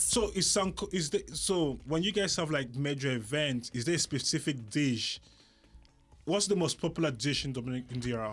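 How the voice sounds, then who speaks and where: With music in the background, a man at a fairly high pitch speaks with lively intonation. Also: moderate pace. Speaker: podcast host. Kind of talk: podcast host talk. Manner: playful, animated.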